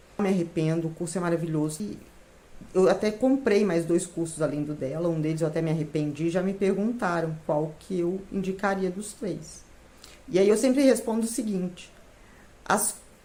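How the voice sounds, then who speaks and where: A woman's fairly low, dark, mellow voice at a moderate pace, with ordinary pitch variation and audible room echo. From Minas Gerais, Brazil (São João del Rei). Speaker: retired civil servant, baking course student. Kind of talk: testimony.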